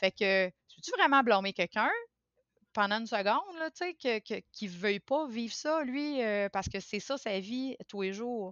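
The intonation is lively. The pace is fairly slow. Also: woman, fairly high pitch for a woman. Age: 40s. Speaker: podcast guest sharing personal experience. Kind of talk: casual interview conversation. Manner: halting, many hesitations and repetitions.

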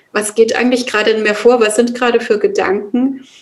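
A woman speaks at a fairly high pitch. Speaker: yoga and meditation teacher. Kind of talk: interview. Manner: hesitant, many fillers.

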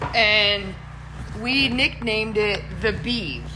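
Noticeable background noise is present throughout. Through it, a woman can be heard talking. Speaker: professional golfer and podcast host. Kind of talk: casual chat. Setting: bar. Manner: animated.

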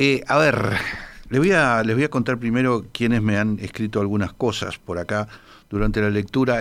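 Speaking at a fairly quick pace, a man has an unremarkable speaking voice with a fairly low pitch. His intonation stays fairly even. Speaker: radio host. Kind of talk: casual chat.

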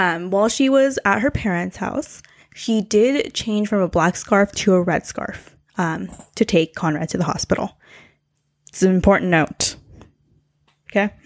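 A woman speaks at a moderate pace with a medium pitch, leaving long, frequent pauses. The sound is dry and close with no echo, and the recording is very clean over a silent background. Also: ordinary pitch variation. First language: not English. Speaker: podcast host. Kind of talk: casual chat about true crime.

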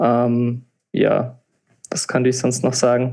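A man's voice at a medium pitch. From Palatinate, Germany. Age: 20s. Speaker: techno DJ and engineering student. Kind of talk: podcast interview. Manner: hesitant, many filler sounds.

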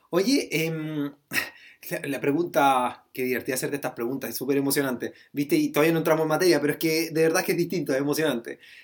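A man talks at a very fast pace in a fairly high pitch, his intonation fairly even. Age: 30s. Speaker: podcast host. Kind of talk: casual interview. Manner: halting.

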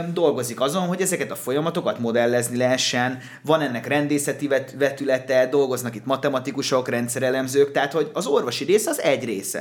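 A man at a very fast pace. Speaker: podcast co-host. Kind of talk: casual chat. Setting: studio.

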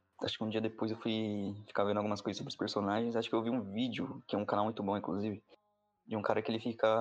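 A man's medium-pitched voice at a very fast pace. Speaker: podcast guest. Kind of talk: casual chat.

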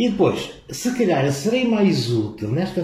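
A man speaks at a fairly slow pace with very wide pitch swings and a dark, mellow tone. His voice is somewhat breathy, and audible room echo surrounds it. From northern Portugal, Vila do Conde. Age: 60s. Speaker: physics professor. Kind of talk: casual interview.

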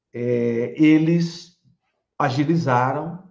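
There is audible room echo as a man talks at a very slow pace with ordinary pitch variation. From Bahia, Brazil (Salvador). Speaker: law professor. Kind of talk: interview. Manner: halting.

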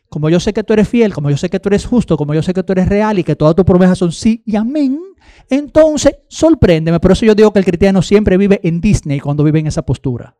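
The voice moves at a very fast pace with lively intonation and a dark, mellow tone, recorded dry and close with no echo. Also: man, high pitch for a man. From Dominican Republic, Baní. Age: 40s. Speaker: guest preacher. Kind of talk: sermon.

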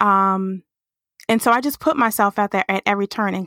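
A woman speaks in a plain, everyday voice at a medium pitch and a fairly quick pace, with fairly even intonation. The sound is dry and close with no echo, on a very clean recording with a silent background. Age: 30s. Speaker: branding agency founder. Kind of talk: interview.

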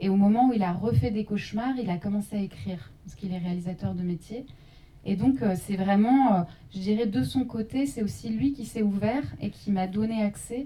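A woman at a medium pitch speaks at a moderate pace in a normal speaking voice. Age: young. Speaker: journalist and documentary maker. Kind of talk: post-screening panel discussion.

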